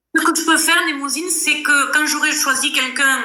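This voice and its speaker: A woman with a Toulouse accent speaks in a raised, projected voice at a moderate pace. There is audible room echo and noticeable background noise. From southern France, Toulouse area. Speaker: live stream host. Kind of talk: casual live chat. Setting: live video stream.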